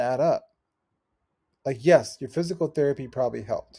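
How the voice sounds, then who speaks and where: A man's dark, mellow, somewhat breathy voice against a quiet background. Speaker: athletic injury coach. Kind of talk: tutorial. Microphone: webcam.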